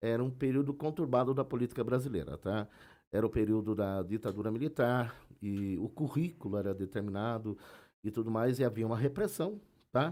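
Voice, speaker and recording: This man talks at a fairly quick pace in a dark, mellow tone at medium pitch, with ordinary pitch variation. The recording is very clean, with a silent background. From Brazil, Sorocaba (São Paulo state). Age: 50s. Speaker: history teacher. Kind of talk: interview conversation. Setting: live-streamed podcast with chat. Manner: hesitant, many fillers.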